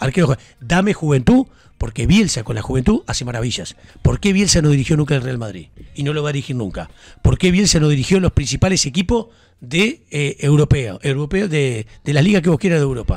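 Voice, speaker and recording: Speaking at a fairly quick pace, a man with a Uruguayan accent has a fairly high, somewhat breathy voice and lively intonation in a dry recording with no echo. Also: quiet background. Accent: Rioplatense Spanish (Uruguayan). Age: 50s. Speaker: sports radio host. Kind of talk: casual sports talk. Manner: animated. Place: studio. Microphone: studio mic.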